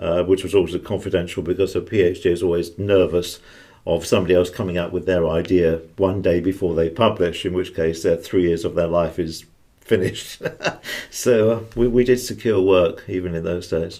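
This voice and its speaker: With a British accent, a man talks at a fairly quick pace in a very deep, low pitch, his tone dark and mellow and his intonation fairly even. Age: 70s. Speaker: retired intelligence officer and author. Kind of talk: interview.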